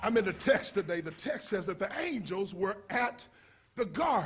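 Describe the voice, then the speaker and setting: A man's high voice with an animated tone and lively intonation. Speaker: pastor. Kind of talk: sermon. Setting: church. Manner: loud.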